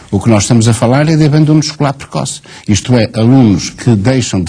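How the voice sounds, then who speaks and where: Fairly quick speech in an ordinary speaking voice, its pitch varying in an ordinary way. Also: man. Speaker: teachers' union leader. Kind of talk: TV studio debate.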